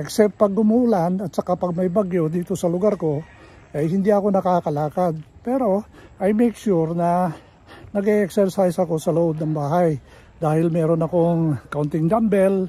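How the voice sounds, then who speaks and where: A man's high, dark, mellow voice in a relaxed tone at a moderate pace, with ordinary pitch variation and long, frequent pauses. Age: 70s. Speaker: vlogger. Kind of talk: casual talk to camera while walking. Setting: outdoors. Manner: relaxed, conversational.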